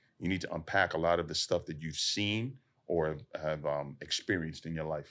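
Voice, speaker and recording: With an American accent, a man talks at a fairly quick pace. His voice is very deep and low, with ordinary pitch variation. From US inner city. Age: 40s. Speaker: SWAT officer and fitness advocate. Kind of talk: casual podcast interview. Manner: relaxed, conversational with many fillers.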